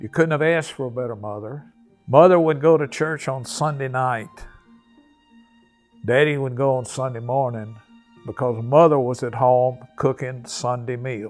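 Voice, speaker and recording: A man's voice over background music, with long, frequent pauses. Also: medium pitch for a man, ordinary pitch variation, moderate pace. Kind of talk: interview answer.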